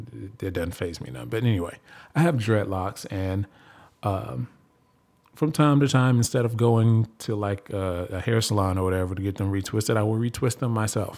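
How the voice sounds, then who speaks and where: In an ordinary speaking voice, a man with a fairly low pitch talks at a moderate pace with lively intonation. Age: 30s. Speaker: podcast host. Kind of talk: casual monologue.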